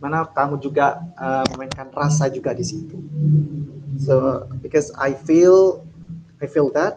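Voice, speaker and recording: Somewhat breathy, a man with an Indonesian accent talks at a very slow pace. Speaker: speech contest judge. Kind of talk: feedback interview.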